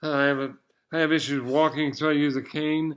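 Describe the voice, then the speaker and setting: A man speaks at a fairly quick pace with fairly even intonation. His pitch is fairly high, and the background is quiet. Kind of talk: casual vlog monologue. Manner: halting, repeats words.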